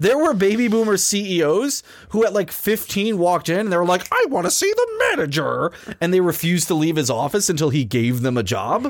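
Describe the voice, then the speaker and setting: A man talks at a fairly quick pace in an animated tone, with a high pitch, very wide pitch swings and very even loudness. Noticeable background noise is present. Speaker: podcast host. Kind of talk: angry comedic rant. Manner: animated, indignant, sweary; fast, sarcastic.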